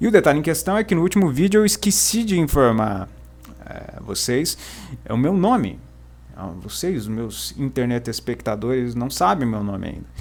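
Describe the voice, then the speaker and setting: A man with a strong Paraná accent talks at a moderate pace, his loudness swinging widely. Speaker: book YouTuber. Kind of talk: literary lecture video. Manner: hesitant, many fillers; formal.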